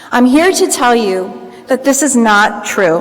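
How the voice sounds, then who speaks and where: With an American accent, a woman speaks at a fairly slow pace in a fairly high pitch with lively intonation. Noticeable background noise is present. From Florida, US. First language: Greek. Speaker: commencement speaker. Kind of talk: commencement speech. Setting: field house with audience.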